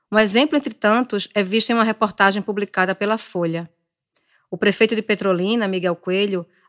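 Dry and close with no echo on a very clean recording with a silent background, a woman's medium-pitched voice, a normal speaking voice, moves at a moderate pace with ordinary pitch variation. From Brazilian Northeast. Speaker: journalist and podcast host. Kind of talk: scripted narration.

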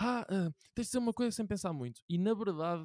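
Talking at a very fast pace with very wide pitch swings, a man with a European Portuguese accent has a dark, mellow tone, captured on a very clean recording with a silent background and a dry, close sound with no echo. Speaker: podcast host. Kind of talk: casual chat.

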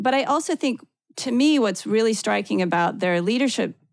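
A woman speaks with a Midwestern American accent against a quiet background. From US Midwest, Ohio. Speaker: author. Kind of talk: interview.

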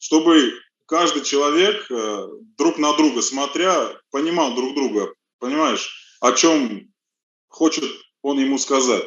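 A man with a fairly high pitch speaks with lively intonation. His speech has long, frequent pauses. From Russia, Rostov. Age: 40s. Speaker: auto mechanic. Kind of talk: interview. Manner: halting.

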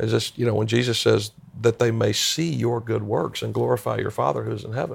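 Someone speaks at a fairly quick pace with an American accent. Noticeable background noise sits under the voice. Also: man. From US South, upstate South Carolina (Greenville-Spartanburg). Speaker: pastor. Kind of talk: interview conversation. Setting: in person at a conference.

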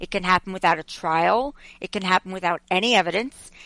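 A woman with an American accent speaks at a medium pitch and a fairly quick pace, in a plain, everyday voice. The sound is dry and close with no echo, over a quiet background. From Long Island, New York. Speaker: journalist and media commentator. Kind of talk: casual interview.

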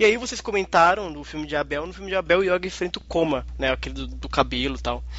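Noticeable background noise behind a very fast pace of speech. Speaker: podcast host. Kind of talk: casual chat. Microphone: audio problem in his recording.

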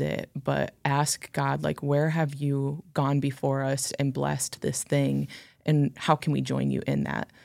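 On a very clean recording with a silent background, a woman talks at a fairly slow pace. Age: 20s. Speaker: podcast co-host, church staff. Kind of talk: casual chat.

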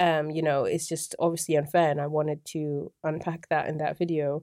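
A woman with an English accent speaks at a moderate pace in a very deep, low pitch, her dark, mellow tone held in a monotone, flat intonation on a very clean recording with a silent background. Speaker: YouTuber. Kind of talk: casual chat.

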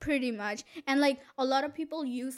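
A woman speaks at a fairly slow pace with a high pitch and fairly even intonation. The recording is very clean, with a silent background. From India. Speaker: student guest, host's girlfriend. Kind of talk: casual chat. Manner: quiet.

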